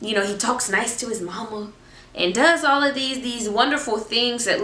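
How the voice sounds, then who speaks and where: With an animated tone, a woman talks at a fairly high pitch and moderate pace with ordinary pitch variation, amid audible room echo and noticeable background noise. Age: 20s. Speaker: faith vlogger. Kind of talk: casual chat.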